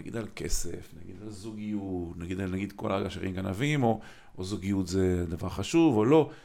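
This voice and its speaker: In a plain, everyday voice, a man talks at a moderate pace. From Israel, Kiryat Motzkin. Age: 50s. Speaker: podcast host. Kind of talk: interview conversation.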